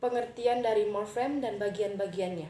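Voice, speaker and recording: A woman is talking. Room echo is audible around her voice. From Riau, Siak regency (Indonesia). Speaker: university student. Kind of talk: class assignment presentation. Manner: hesitant, with frequent fillers.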